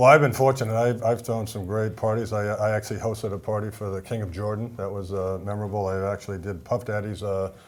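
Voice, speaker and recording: A man with a Boston accent talks at a very fast pace with hardly any pauses. His pitch is fairly low and his intonation fairly even. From US Northeast, Boston. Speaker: event venue owner. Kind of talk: TV talk show interview. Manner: halting, many fillers and repetitions.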